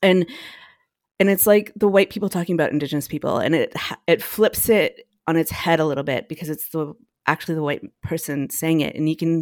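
With a Canadian accent, a woman speaks in an ordinary speaking voice with a fairly low pitch and ordinary pitch variation. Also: very clean recording, silent background. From northern Alberta, Canada. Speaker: cellist and composer. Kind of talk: casual chat.

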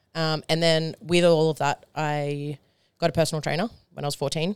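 Over a silent background in a very clean recording, a woman with an Australian accent speaks at a moderate pace, her pitch very deep and low and her intonation fairly even. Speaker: powerlifter. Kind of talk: casual chat.

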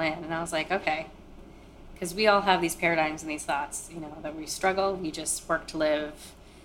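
A woman with an American accent speaks in an ordinary speaking voice at a fairly low pitch and a moderate pace. Her intonation is fairly even, with big swings in loudness. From Maine, US. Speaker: interviewee sharing life story. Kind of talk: personal testimony.

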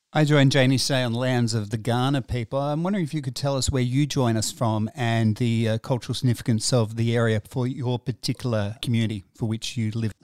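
In a very clean, dry and close recording with no echo and a silent background, a man with an Australian accent talks fairly quickly with fairly even intonation. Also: medium pitch for a man. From South Australia. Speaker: podcast host. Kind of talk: interview.

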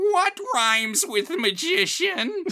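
This put-on character voice sits at an extremely high pitch. Its pitch swings very widely. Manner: annoying, exaggerated.

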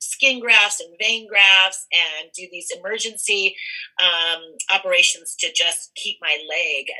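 Speaking at a fairly slow pace in an American accent, a woman uses a medium pitch with ordinary pitch variation. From California. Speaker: cannabis entrepreneur. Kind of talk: interview.

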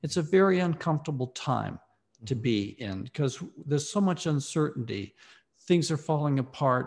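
A man with an American accent speaks at a moderate pace with lively intonation, his voice somewhat breathy and fairly high. The recording is very clean, with a silent background. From US South, Mississippi. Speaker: philosophy professor and author. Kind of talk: interview.

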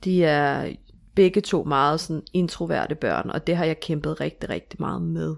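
The recording is very clean, and the background is silent. Words are delivered at a fairly slow pace. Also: woman. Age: 30s. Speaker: stepmother sharing her story. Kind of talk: interview. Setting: home bedroom studio.

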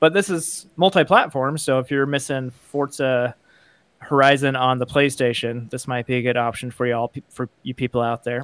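An unremarkable speaking voice: a man at a medium pitch with ordinary pitch variation and a moderate pace, in a dry, close sound with no echo. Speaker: podcast co-host. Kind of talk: casual chat.

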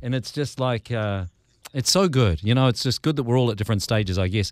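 With a New Zealand accent, this man talks at a very fast pace, his medium pitch moving with ordinary variation. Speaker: podcast host. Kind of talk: podcast interview. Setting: radio desk, remote call.

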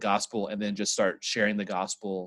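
An ordinary speaking voice with an American accent moves at a moderate pace over a quiet background. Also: man. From Midland, Texas. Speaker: podcast co-host. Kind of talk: casual chat. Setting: video call.

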